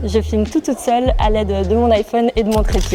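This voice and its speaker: Music plays in the background. The speaker moves along at a fairly quick pace. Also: woman. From Switzerland. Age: 20s. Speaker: content creator. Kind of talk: casual monologue to camera. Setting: gym.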